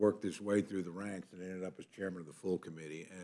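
A man talks with a very deep, low pitch. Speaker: politician. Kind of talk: committee hearing remarks. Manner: formal. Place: meeting room. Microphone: podium.

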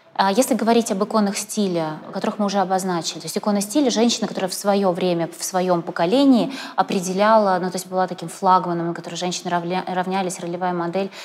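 This woman speaks at a very fast pace with fairly even intonation. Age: young. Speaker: interviewer and blogger; interviewer, blogger. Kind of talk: interview. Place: studio. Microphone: lapel.

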